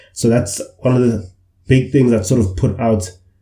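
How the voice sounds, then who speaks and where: The man's somewhat breathy voice has a dark, mellow tone and fairly even intonation. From KwaZulu-Natal, South Africa (Umlazi). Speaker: podcast co-host. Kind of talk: casual discussion. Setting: online call.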